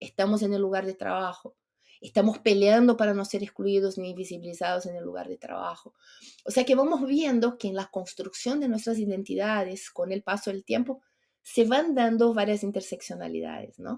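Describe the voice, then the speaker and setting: At a moderate pace, a woman speaks in a medium-pitched voice with a dark, mellow tone. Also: ordinary pitch variation. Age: 50s. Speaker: entrepreneur and longevity advocate. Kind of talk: podcast interview.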